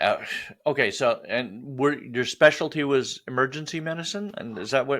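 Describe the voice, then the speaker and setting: In an ordinary speaking voice with an American accent, a man talks at a moderate pace with fairly high pitch, lively intonation and big swings in loudness, on a very clean recording with a silent background. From US Upper Midwest. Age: 60s. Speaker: podcast host. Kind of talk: casual interview chat.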